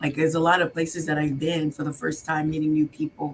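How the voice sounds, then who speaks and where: With a slight non-native accent, a woman speaks in a very deep, low pitch and a monotone, flat intonation. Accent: foreign accent, slight. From Haiti, then New York from age eight. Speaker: business owner, contractor. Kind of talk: talk show interview. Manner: hesitant, many fillers and repeats.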